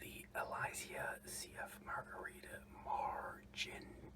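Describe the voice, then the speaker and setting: Noticeable background noise fills the clip. Over it, the speech is whispered. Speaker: ASMR creator. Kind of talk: ASMR whispered random facts. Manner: casual, rambling.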